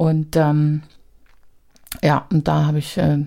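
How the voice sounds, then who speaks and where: A woman speaks with a strong Berlin accent. Her pitch is fairly low and her tone dark and mellow. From East Berlin, Hohenschönhausen. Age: 50s. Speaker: social worker and activist. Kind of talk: interview.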